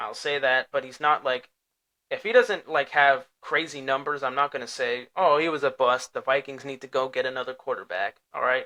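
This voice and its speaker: The voice has a bright, sharp tone, ordinary pitch variation and big swings in loudness. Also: man. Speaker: sports podcast host. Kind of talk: solo podcast commentary. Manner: casual, repetitive fillers.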